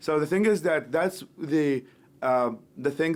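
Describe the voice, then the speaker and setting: A man with an Iraqi accent. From Iraq, West Baghdad. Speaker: human rights activist, nonprofit founder. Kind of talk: podcast interview. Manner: halting, many repetitions.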